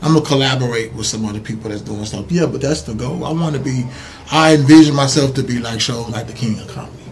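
A man with an American accent at a very fast pace, medium pitch and ordinary pitch variation, with big swings in loudness and noticeable background noise. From Missouri City, Texas. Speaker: comedian and entrepreneur. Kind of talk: casual interview.

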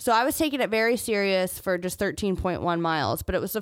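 A woman speaks at a medium pitch and a fairly quick pace, her tone animated and her intonation lively. The recording is very clean, with a silent background. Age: 20s. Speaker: podcast host. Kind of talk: solo monologue. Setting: studio.

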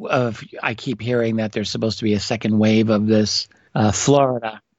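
A man with an American accent speaks at a moderate pace, his pitch fairly low. He has a plain, everyday voice with fairly even intonation. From New York City. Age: 50s. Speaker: historian and author. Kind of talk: interview. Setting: remote call from home office.

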